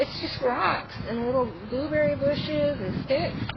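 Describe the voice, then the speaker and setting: High-pitched female voice over noticeable background noise. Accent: American. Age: 60s. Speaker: sasquatch researcher vlogger. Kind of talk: casual vlog monologue. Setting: outdoors.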